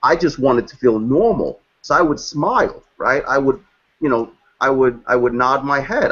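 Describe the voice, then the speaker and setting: In a Brooklyn accent, a man speaks at a fairly high pitch. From New York, Brooklyn. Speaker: guest speaker on race and identity. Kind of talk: panel discussion. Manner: repetitive, halting restarts.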